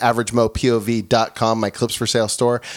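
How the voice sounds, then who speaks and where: Moderate pace against noticeable background noise. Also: man. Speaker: podcast host. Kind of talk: casual banter interview. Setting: studio.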